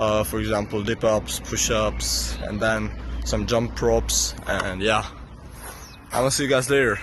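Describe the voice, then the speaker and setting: A man's fairly slow speech comes through audible room echo and noticeable background noise. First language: not English. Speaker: vlogger. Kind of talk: casual vlog. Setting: outdoors. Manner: halting.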